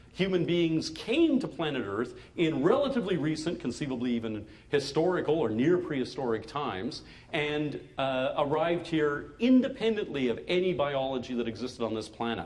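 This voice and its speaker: A man speaks at a moderate pace with lively intonation and a fairly high pitch, with audible room echo and noticeable background noise. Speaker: science fiction writer. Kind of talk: lecture.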